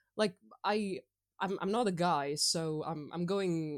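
With a plain, everyday voice, a woman speaks at a fairly slow pace in a fairly low pitch with ordinary pitch variation. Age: 20s. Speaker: podcast guest, gamer. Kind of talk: casual chat.

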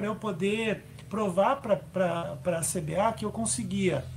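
There is noticeable background noise in this clip. A man speaks with a high-pitched voice. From Brazil, Curitiba. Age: 50s. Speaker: para-athlete and racing driver. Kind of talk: interview. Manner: halting.

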